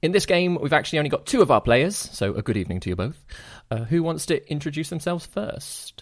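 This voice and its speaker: The voice has vocal fry, very wide pitch swings and a very fast pace. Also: man, fairly high pitch for a man. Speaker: dungeon master and podcast host. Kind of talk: casual chat.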